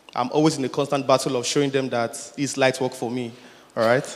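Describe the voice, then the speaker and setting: A man speaks at a medium pitch in a flat monotone, with noticeable background noise. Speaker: audience member asking a question. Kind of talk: Q&A question at conference.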